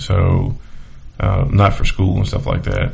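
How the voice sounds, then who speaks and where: A man's very deep, low voice with an American accent, at a moderate pace and with ordinary pitch variation, amid audible room echo and noticeable background noise. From Charlotte, North Carolina. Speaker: podcast host and realtor. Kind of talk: casual monologue.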